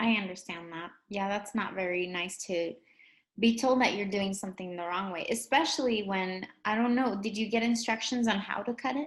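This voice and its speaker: A woman's somewhat breathy voice at medium pitch, with ordinary pitch variation, a moderate pace and a Spanish accent. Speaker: English language teacher. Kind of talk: educational lesson chat.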